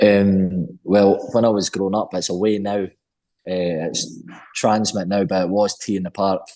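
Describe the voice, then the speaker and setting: A man speaks in a Scottish accent at a fairly low pitch. His tone is dark and mellow, and his intonation fairly even. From Scotland. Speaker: rock band singer. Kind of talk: interview. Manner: fast.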